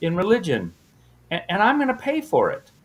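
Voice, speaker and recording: A man talks with an American accent. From US West Coast, San Diego. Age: 60s. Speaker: minister and math teacher. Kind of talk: casual interview. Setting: podcast.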